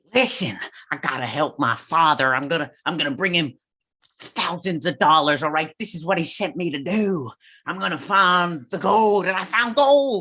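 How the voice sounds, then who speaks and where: Using a put-on character voice, a man speaks with a high pitch and lively intonation at a moderate pace. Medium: stage play.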